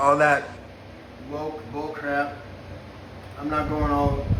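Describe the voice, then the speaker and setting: A fairly high-pitched man amid audible room echo and noticeable background noise. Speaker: cannabis grower YouTuber. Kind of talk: casual rambling monologue. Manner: halting, stuttering.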